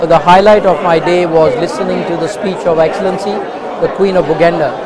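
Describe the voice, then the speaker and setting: The speaker is a man with a fairly quick pace. Noticeable background noise is present, though the sound itself is dry with no echo. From Uganda. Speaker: convention attendee. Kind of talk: interview. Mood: warm, enthusiastic. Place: hall. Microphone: lapel.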